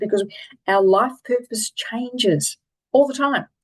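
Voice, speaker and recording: With an Australian accent, a woman sounds animated, her intonation lively and her voice showing vocal fry. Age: 60s. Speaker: life coach and keynote speaker. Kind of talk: online presentation on a coaching program.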